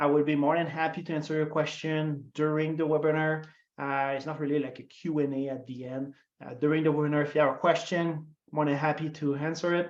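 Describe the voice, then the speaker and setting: A fairly high-pitched man speaks in a Quebec accent. His pace is fairly quick and his intonation flat and monotone. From Quebec, Montreal. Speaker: customer success marketer. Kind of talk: webinar presentation. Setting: online webinar. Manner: frequent fillers, hesitant.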